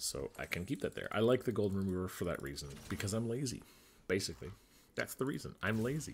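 A man's very fast delivery carries vocal fry. He moves his pitch through very wide swings. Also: fairly low pitch for a man. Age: 40s. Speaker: gaming YouTuber. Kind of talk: gameplay commentary. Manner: casual, thinking aloud.

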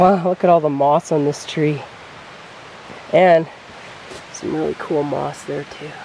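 Dry sound with no echo and light background noise. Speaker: travel vlogger. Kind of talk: casual vlog chat. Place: forest. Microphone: phone near.

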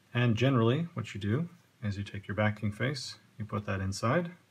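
A man speaks at a fairly slow pace in a somewhat breathy voice. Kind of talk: tutorial.

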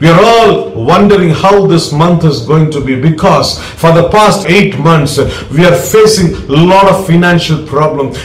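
A man speaks in a high voice with ordinary pitch variation. Audible echo fills the room. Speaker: preacher. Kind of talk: sermon.

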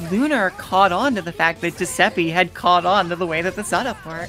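Music plays in the background as a woman talks at a moderate pace. Her pitch is fairly low. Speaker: fighting game commentator, former pro player. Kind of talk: esports match commentary.

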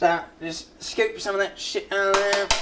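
Over noticeable background noise, a man speaks in a raised, projected voice. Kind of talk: comedic cooking tutorial. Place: kitchen.

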